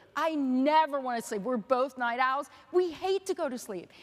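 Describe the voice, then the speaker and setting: A woman with lively intonation. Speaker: artist. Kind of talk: artist talk with Q&A. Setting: stage with audience. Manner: halting with fillers.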